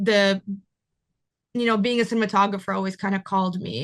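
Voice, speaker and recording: With a Russian accent, a woman speaks at a medium pitch. The background is quiet. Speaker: cinematographer. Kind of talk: interview.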